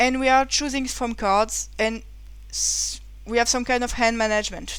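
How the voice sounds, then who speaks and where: Her pace stays moderate. This woman talks in a French accent. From France. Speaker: board game reviewer. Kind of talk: game review. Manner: halting.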